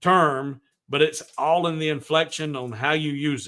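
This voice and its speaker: With a Southern US accent, a man speaks at a fairly slow pace in a fairly high pitch. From US South. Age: 50s. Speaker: woodworking livestream host. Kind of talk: casual chat. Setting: livestream.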